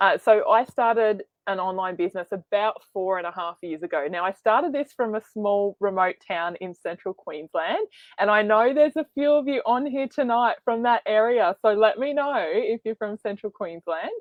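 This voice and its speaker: A woman's fairly high voice with lively intonation and hardly any pauses. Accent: Australian. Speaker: online business coach. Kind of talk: webinar presentation. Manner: fast.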